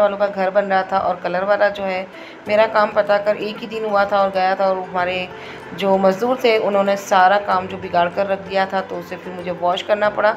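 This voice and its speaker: Over music in the background, a woman speaks at a moderate pace and a medium pitch with monotone, flat intonation. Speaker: cooking vlogger. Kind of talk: cooking vlog narration. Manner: soft-spoken.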